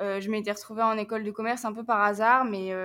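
A woman with a fairly high pitch talks while music plays behind her. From northern France, Picardy. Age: 20s. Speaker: traveller and volunteer. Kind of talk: casual interview.

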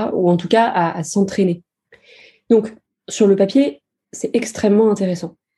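This woman speaks at a medium pitch with a dark, mellow tone that is somewhat breathy. Her pace is fairly slow, with long, frequent pauses. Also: ordinary pitch variation. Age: 20s. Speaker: user researcher. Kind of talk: casual interview.

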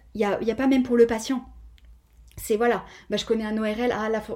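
A woman's ordinary speaking voice, fairly high in pitch, fairly even in intonation, at a fairly quick pace. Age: 30s. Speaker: physiotherapist. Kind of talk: interview.

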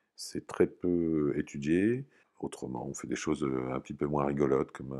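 With a very deep, low pitch and a dark, mellow tone, a man talks at a moderate pace with fairly even intonation. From Normandy, France. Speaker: company founder, physicist. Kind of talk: interview testimony. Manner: halting, frequent hesitations.

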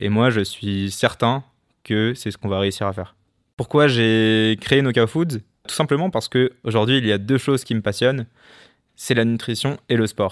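A plain, everyday voice from a man at medium pitch, fairly slow, with ordinary pitch variation, dry and close with no echo on a very clean recording against a silent background. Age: 20s. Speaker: professional boxer and entrepreneur. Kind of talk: personal testimony monologue.

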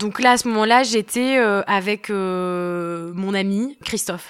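A woman's voice with ordinary pitch variation, on a very clean recording with a silent background. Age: 20s. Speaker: long-distance hiker. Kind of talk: personal testimony. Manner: hesitant, many fillers.

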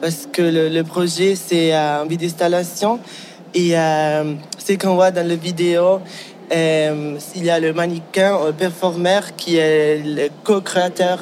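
Over noticeable background noise, a man talks at a very slow pace with high pitch and fairly even intonation. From Ticino, Switzerland. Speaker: fashion designer and teacher. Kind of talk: casual interview. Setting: recorded on site at a design awards event. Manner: halting, repeats words.

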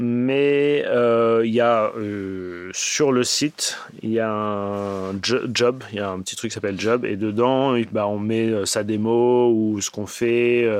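Using hardly any pauses, a man speaks at a very slow pace and medium pitch with fairly even intonation. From Paris, France. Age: 40s. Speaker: animation supervisor. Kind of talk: interview.

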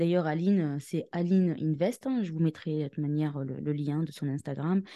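A woman speaks in a very deep, low voice with a dark, mellow tone. Her pace is moderate and the background is quiet. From Tunisian origin. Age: 30s. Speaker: podcast co-host, entrepreneur and property investor. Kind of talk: casual chat. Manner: halting, many fillers.

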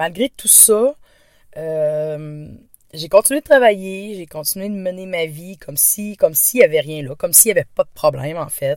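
A woman's fairly low voice in a Quebec accent, fairly slow, with lively intonation and big swings in loudness, on a very clean recording with a silent background. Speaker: stress and anxiety coach. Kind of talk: podcast monologue. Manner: hesitant, many fillers.

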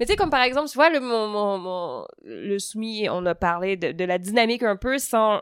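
The recording is very clean, with a silent background and a dry, close sound with no echo. A woman speaks in a normal speaking voice at a moderate pace, medium in pitch with ordinary pitch variation. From Quebec, Montreal (Saint-Hubert). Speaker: stand-up comedian. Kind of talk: casual interview conversation. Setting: at a table in Lausanne.

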